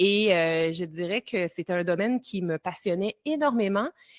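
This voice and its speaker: Recorded very clean with a silent background and a dry, close sound with no echo, a woman speaks with a Quebec accent and ordinary pitch variation. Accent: Québécois. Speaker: time-management coach and entrepreneur. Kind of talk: podcast interview.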